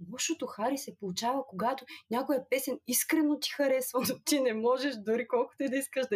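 With a high pitch, the woman talks fairly quickly. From Bulgaria, Burgas. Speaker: app user, legal adviser. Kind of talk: casual chat.

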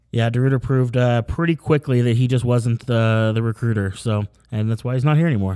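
A man speaks with a plain, everyday voice at a medium pitch and fairly quick pace, with an American accent, ordinary pitch variation, very even loudness and a dry, close sound with no echo. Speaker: sports podcast host. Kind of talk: casual chat. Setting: in-person recording. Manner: casual, filler-heavy.

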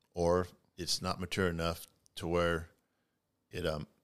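A man with an American accent is captured on a very clean recording with a silent background. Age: 60s. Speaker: farmer. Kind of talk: casual interview. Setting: in-person recording.

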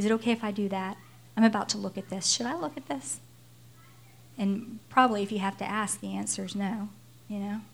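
Somewhat breathy, a woman at a medium pitch talks at a fairly quick pace broken by long, frequent pauses. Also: ordinary pitch variation. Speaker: pastor. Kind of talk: sermon.

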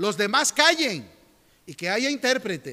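A man's raised, projected voice, bright and sharp in tone, with very wide pitch swings. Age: 50s. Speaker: pastor. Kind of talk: sermon. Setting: church.

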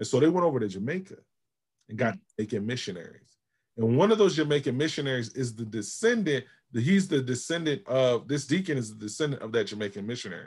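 Talking at a very fast pace, a man uses a medium pitch and lively intonation. His voice is somewhat breathy. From Georgia and Albany, New York. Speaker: pastor / seminary graduate. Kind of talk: interview.

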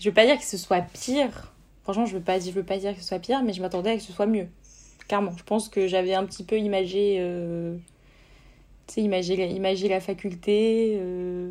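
Talking at a fairly quick pace, a woman uses a medium pitch and fairly even intonation, with big swings in loudness. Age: 20s. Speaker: law student. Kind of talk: casual chat.

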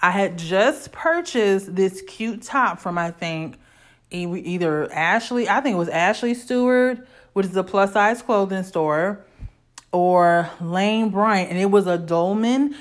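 Her tone is animated, with ordinary pitch variation at a medium pitch. The woman talks at a fairly slow pace. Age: 30s. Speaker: podcast host. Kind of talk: solo casual monologue.

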